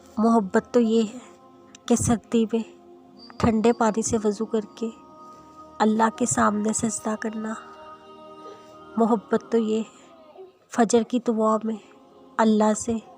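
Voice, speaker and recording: Over music in the background, a woman speaks in a fairly high voice with monotone, flat intonation. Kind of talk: Islamic motivational quotes narration.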